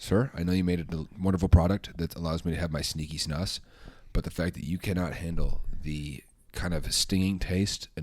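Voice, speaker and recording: A man's mumbling at a fairly quick pace, very deep and low in pitch. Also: very clean recording, silent background. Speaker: comedian. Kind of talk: casual chat.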